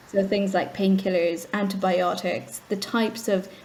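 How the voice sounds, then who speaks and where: An Irish accent at a moderate pace with monotone, flat intonation. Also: woman. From Ireland. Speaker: charity executive. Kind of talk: interview.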